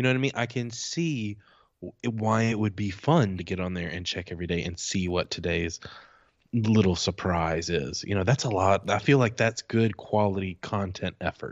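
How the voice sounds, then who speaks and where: A man with a plain, everyday voice, fairly low pitch, ordinary pitch variation and a moderate pace. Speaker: podcast host. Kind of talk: casual chat.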